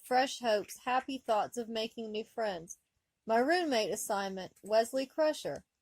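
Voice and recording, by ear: Someone is reading aloud in a natural voice, with ordinary pitch variation over a quiet background.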